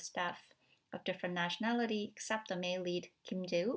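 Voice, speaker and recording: A woman speaks with a Korean accent. Her pace is fairly quick and her intonation fairly even. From South Korea. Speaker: film studies academic. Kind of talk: recorded talk. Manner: halting, many fillers.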